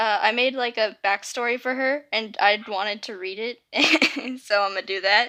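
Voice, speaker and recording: Her pace is very slow, her tone bright and sharp. The woman's pitch is fairly high and varies in an ordinary way. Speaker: YouTuber reading own fanfiction. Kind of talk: casual intro before reading aloud. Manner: halting, many fillers.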